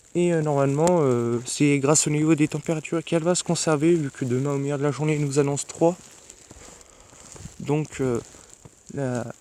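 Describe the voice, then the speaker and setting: Noticeable background noise sits behind a soft-spoken man. He talks at a moderate pace with a fairly high pitch and fairly even intonation. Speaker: amateur weather vlogger. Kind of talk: casual weather vlog. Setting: outdoors at night in snow. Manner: hesitant.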